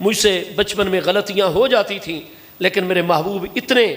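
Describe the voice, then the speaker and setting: Over noticeable background noise, a man talks in a high-pitched voice. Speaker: Islamic scholar, preacher. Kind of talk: religious sermon. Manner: emotional.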